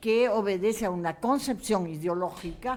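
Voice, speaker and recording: A woman's pitch rises and falls very widely as she talks at an even, middling speed. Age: 70s. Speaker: panelist, researcher. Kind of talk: panel discussion.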